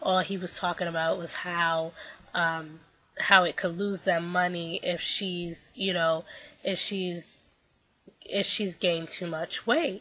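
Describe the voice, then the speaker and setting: Her voice is fairly low in pitch, with a bright, sharp tone. The woman speaks at a very slow pace with monotone, flat intonation. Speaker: video reviewer. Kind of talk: casual vlog review. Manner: talkative, long-winded with many fillers.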